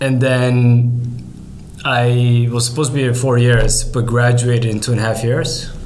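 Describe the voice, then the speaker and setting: Amid noticeable background noise and audible room echo, a man of medium pitch speaks at a moderate pace in a monotone, flat intonation. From Norway. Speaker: startup CEO. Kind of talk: casual interview. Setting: in-person studio.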